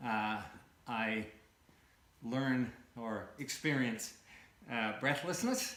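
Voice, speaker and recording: A man at a very slow pace with long, frequent pauses, amid noticeable background noise and audible room echo. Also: medium pitch for a man, ordinary pitch variation. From Canada. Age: 60s. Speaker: cancer patient. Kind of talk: interview testimony. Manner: halting, many fillers.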